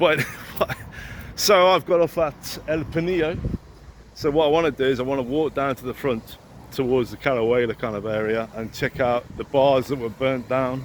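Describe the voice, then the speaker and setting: Speaking at a moderate pace with an English accent, a man keeps a medium pitch with ordinary variation. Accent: English accent noticeable in Spanish. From England. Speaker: YouTuber. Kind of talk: vlog monologue. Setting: outdoors and on a train, walking. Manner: casual, sweary.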